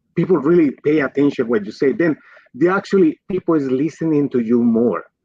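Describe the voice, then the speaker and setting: Speaking at a fairly quick pace with a strong Colombian accent, a man uses fairly high pitch, lively intonation and very even loudness. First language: Spanish. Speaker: physician and pharma executive. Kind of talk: livestream interview.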